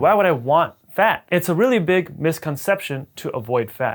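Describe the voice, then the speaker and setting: Lively in intonation, a man talks at a moderate pace in a fairly high pitch. The recording is very clean, with a silent background. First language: Punjabi. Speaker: dentist. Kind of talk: educational video talk. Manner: casual, conversational.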